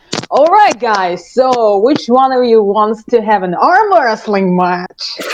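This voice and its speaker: A woman uses a loud, booming, put-on character voice at a fairly high pitch. Her intonation is lively and her pace fairly slow. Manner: challenging, commanding.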